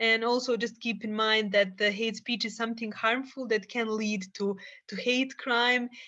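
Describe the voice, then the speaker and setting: Against a quiet background, a woman with a Bosnian accent speaks at a moderate pace in a fairly high, bright, sharp tone with monotone, flat intonation. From Bosnia and Herzegovina. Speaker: psychologist and peacebuilding activist. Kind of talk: podcast interview.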